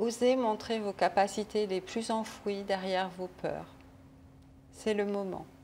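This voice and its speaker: A woman speaks at a medium pitch with a dark, mellow tone and monotone, flat intonation. Her delivery is very slow, with long, frequent pauses. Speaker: spiritual channeler. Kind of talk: reading aloud.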